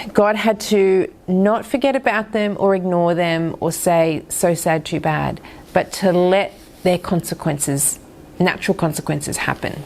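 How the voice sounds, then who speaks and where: This woman has an unremarkable speaking voice at medium pitch. She talks at a fairly slow pace with ordinary pitch variation. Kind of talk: Bible teaching talk.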